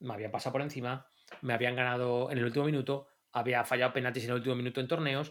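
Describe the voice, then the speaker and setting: This man talks very fast at a medium pitch. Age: 40s. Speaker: football coach. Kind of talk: casual chat.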